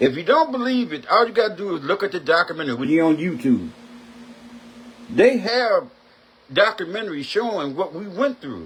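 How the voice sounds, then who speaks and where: A man at a fairly quick pace, high-pitched with very wide pitch swings and long, frequent pauses, amid noticeable background noise. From US South (Mississippi). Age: 60s. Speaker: talk show host. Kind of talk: opinion rant. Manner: animated.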